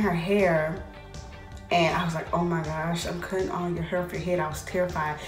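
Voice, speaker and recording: A woman with a fairly low pitch speaks at a moderate pace over clear background music, with audible room echo. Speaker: hair vlogger. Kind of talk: casual vlog chat. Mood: amused storytelling, laughing. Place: bathroom. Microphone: phone near.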